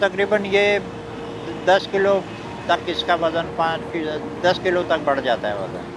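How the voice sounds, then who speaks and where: A man talks with a high pitch. There is noticeable background noise. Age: 70s. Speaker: street snack seller. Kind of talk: interview answer.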